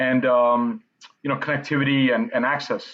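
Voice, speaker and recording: An ordinary speaking voice from a man, medium in pitch, at a moderate pace. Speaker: event platform interview host. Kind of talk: interview host talk.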